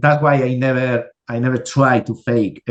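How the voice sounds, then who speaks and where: A man speaks at a medium pitch with ordinary pitch variation and a strong Spanish accent. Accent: Spanish, thick. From Spain. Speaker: miniature sculptor. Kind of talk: casual interview chat. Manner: halting, many repetitions.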